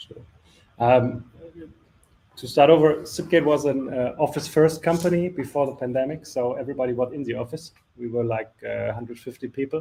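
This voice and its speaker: This man has a plain, everyday voice, fairly high in pitch, talking at a fairly quick pace with fairly even intonation and big swings in loudness. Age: 40s. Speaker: telecom company executive. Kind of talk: panel discussion.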